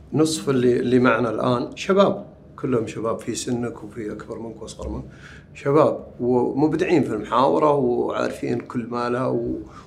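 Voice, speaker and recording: A man's voice shows big swings in loudness, with audible room echo and noticeable background noise. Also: moderate pace. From southern Saudi Arabia, village between Tathlith and Wadi al-Dawasir. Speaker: poet. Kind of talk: interview. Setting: book fair venue.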